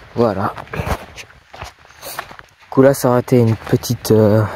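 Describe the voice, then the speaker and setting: A man talks very slowly while noticeable background noise carries on around him. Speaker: nature vlogger. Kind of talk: casual vlog narration outdoors. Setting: outdoors at night.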